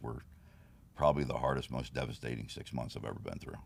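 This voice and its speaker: A man speaks with a very deep, low pitch and vocal fry. His intonation stays fairly even. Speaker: bodybuilding competitor and trophy business owner. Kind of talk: casual interview.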